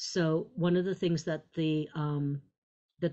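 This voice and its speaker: A woman speaks in a plain, everyday voice at a moderate pace. Her pitch is fairly low, with fairly even intonation. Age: 50s. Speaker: psychiatrist. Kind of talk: lecture.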